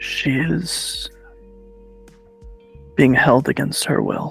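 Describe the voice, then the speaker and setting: A man talks very slowly in a put-on character voice. Faint music plays in the background. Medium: actual play. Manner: formal, smooth.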